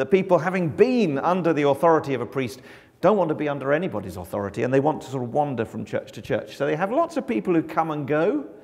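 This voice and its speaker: Vocal fry marks this man's voice. He speaks very fast, with very wide swings in pitch. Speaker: mission agency communications director. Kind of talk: church mission talk. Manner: loud; projecting.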